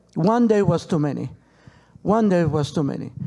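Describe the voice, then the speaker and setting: A man speaks with a Peruvian accent at a moderate pace. His tone is dark and mellow. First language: Spanish. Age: 60s. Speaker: relative of a hostage. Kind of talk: panel talk. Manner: halting.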